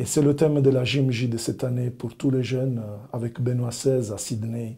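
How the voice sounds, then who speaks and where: At a moderate pace, a man speaks in a dark, mellow, somewhat breathy voice of medium pitch, his intonation monotone and flat. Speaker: religious brother, evangelist. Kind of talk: personal testimony to camera. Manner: friendly, warm.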